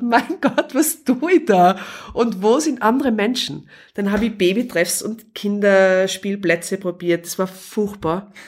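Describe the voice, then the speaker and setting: A woman's plain, everyday voice at medium pitch, with big swings in loudness, in a very clean recording with a silent background. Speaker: podcast guest, mother. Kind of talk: casual interview. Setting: living room.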